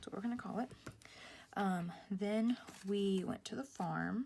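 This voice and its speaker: The delivery is somewhat breathy and fairly slow, with ordinary pitch variation. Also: woman. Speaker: planner vlogger. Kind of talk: casual tutorial. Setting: at home. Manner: whispering.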